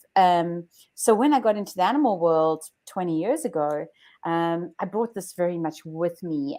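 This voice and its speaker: A woman speaks at a medium pitch with a dark, mellow tone and ordinary pitch variation. Her pace is moderate, and the recording is very clean with a silent background. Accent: South African. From South Africa. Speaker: chiropractor. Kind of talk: interview. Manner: hesitant.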